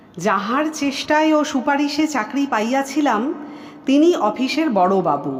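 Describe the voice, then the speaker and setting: A woman's high pitch swings very widely over noticeable background noise. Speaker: audiobook narrator. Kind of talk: audiobook short story reading.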